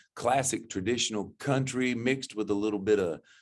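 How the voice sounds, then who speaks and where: On a very clean recording with a silent background, a man with an American accent speaks at a moderate pace with ordinary pitch variation. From Florida panhandle, US South. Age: 60s. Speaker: country singer-songwriter. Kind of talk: interview. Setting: studio. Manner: halting, with frequent false starts.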